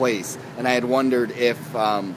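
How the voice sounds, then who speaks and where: A man talks while noticeable noise carries on behind him. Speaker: vlogger and TV reviewer. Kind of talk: casual video review. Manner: fast; halting, many fillers and repeats.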